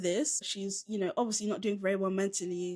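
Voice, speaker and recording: A woman with a Southern English accent and a medium pitch. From southern England, Caribbean heritage. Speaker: film podcast co-host. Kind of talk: film review chat. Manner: casual, conversational.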